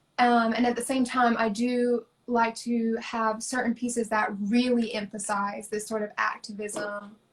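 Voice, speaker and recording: In an American accent, a woman talks fairly slowly at a fairly high pitch with monotone, flat intonation. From US South, rural. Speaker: artist. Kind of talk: interview.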